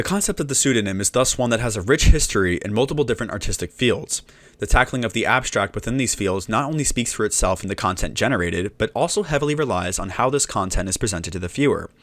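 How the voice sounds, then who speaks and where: A man speaks at a very fast pace with hardly any pauses, his pitch medium and his intonation lively. The recording is very clean, with a silent background. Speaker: musician, video essayist. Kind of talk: video essay narration, read from script. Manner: mumbled in places.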